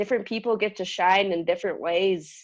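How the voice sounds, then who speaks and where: A woman speaks with a Californian accent. Her pace is moderate. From San Diego, California. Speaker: outdoor educator. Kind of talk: casual chat.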